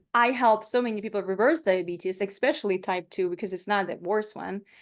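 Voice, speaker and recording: A woman speaks with a Ukrainian accent at a medium pitch. Her pitch variation is ordinary, and the background is quiet. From Ukraine. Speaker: plant-based nutritionist. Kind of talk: webinar talk. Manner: animated.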